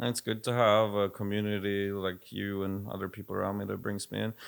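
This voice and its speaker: A man with a Swedish accent, fairly quick and monotone, flat in intonation. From Sweden. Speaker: music producer and label head. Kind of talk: casual chat.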